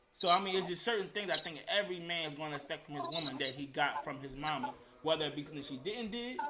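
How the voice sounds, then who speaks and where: A man with a fairly high pitch speaks at a very fast pace with ordinary pitch variation, and there is noticeable background noise. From US (Georgia and Philadelphia). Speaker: podcast panelist. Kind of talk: casual chat.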